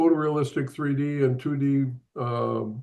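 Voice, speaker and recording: At a fairly slow pace, a man speaks in a dark, mellow tone with monotone, flat intonation. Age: 80s+. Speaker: advertising artist and show co-host. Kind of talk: online panel introduction. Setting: video call. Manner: halting, many fillers.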